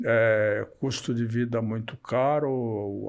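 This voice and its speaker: Medium-pitched male voice, monotone and flat in intonation, against a quiet background. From Rio Grande do Sul, Brazil. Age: 80s+. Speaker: journalist and former radio broadcaster. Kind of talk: podcast interview answer.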